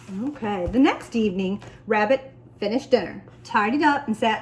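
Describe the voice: The speaker is doing a plain reading. It is read aloud.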